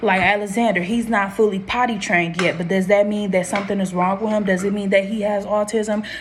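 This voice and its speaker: A woman's medium-pitched voice at a fairly quick pace, with monotone, flat intonation and noticeable background noise. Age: 20s. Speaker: vlogger, young mother. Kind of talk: casual vlog talk to camera. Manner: fast; rambling with self-corrections.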